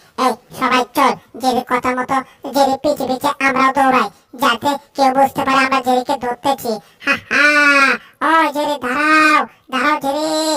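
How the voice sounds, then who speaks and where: A female-sounding cartoonish character voice, pitched high, moves at a moderate pace. The pitch stays high throughout. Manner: shouty, repetitive.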